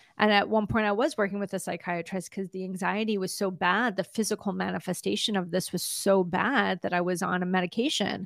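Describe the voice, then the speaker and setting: On a very clean recording with a silent background, a woman with vocal fry talks at a fairly quick pace and medium pitch, with hardly any pauses and fairly even intonation. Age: 50s. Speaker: trauma recovery coach. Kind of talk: interview.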